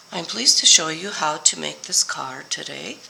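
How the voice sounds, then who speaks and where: A woman talks at a moderate speed. Noticeable background noise is present throughout. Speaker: paper crafting demonstrator. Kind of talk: tutorial. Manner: casual, friendly.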